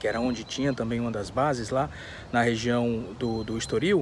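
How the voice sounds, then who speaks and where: Recorded dry with no echo and light background noise, a man speaks at a fairly quick pace. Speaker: history vlogger. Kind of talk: casual vlog chat. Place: open country. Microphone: phone near.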